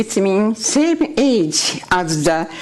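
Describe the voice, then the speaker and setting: Woman's medium-pitched voice in a Japanese accent, very slow in pace with very wide pitch swings. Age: 80s+. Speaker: public commenter. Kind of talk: public comment at a meeting. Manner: halting.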